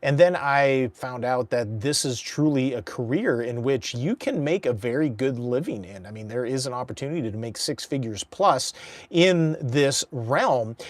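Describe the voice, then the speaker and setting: A man's normal speaking voice, medium in pitch, at a moderate pace with hardly any pauses, ordinary pitch variation and big swings in loudness. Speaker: professional charity and fundraising auctioneer and auctioneer coach. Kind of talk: casual talk to camera.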